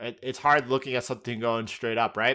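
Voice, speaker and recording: In a very clean recording with a silent background, a man with an American accent speaks in a bright, sharp tone. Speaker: trading educator, live stream host. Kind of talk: live market analysis stream. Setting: live stream. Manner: casual, conversational with frequent restarts.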